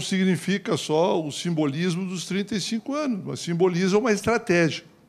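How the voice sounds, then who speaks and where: A man's voice is high, with ordinary pitch variation. He moves at a fairly slow pace. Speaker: party politician on panel. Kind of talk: panel talk.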